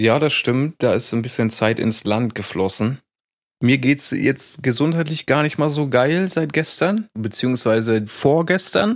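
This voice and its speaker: A man talks in an ordinary speaking voice at a medium pitch, his intonation lively. His pace is fairly slow and his loudness very even. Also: very clean recording, silent background. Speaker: podcast co-host. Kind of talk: casual banter podcast.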